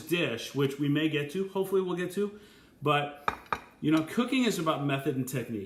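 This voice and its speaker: A man with a fairly high pitch talks at a fairly quick pace with lively intonation. There is audible room echo and light background noise. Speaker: chef. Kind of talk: live Q&A. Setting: live video stream. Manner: fast; animated. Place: kitchen. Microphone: webcam.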